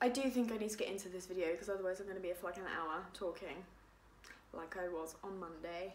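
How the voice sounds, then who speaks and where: A woman talks at a very fast pace with an English accent. Her pitch varies in an ordinary way, and room echo is audible. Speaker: vlogger. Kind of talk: casual chat. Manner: animated.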